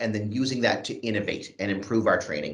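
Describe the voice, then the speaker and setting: A man speaks in a room with audible echo. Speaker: youth training program lead. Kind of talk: presentation at an online event. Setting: video call.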